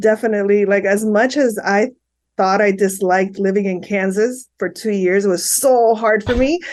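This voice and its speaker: In a Miami accent, a woman speaks at a moderate pace and medium pitch, her loudness very even and her intonation fairly even. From Miami, Florida (Hialeah). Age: 50s. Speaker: psychotherapist. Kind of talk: interview.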